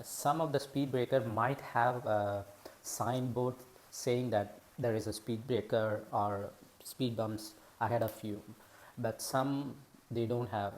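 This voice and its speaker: Speech comes at a very slow pace in a non-native accent. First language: not English. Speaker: driving video creator. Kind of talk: tutorial. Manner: halting, many fillers.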